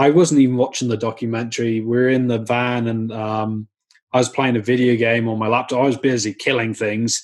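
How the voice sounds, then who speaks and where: At a medium pitch, a man with a Welsh accent speaks at a fairly quick pace in monotone, flat intonation. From Wales. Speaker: vegan activist. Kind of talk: podcast interview.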